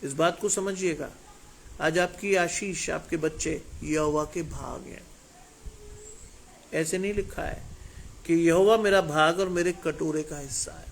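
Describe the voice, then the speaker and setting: Pausing long and often, a man with a high-pitched voice speaks with big swings in loudness. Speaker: preacher. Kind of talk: sermon. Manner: emphatic.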